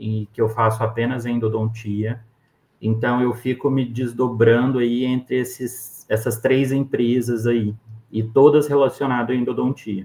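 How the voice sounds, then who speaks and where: An unremarkable speaking voice, fairly slow, with fairly even intonation. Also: man. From Brazil, interior of Minas Gerais. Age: 20s. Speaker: endodontist. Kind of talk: interview.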